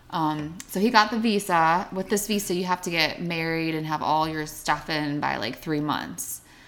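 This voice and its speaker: With an American accent, a woman speaks at a moderate pace and fairly low pitch with hardly any pauses, ordinary pitch variation and a normal speaking voice. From Pittsburgh area, Pennsylvania. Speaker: teacher. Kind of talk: casual chat.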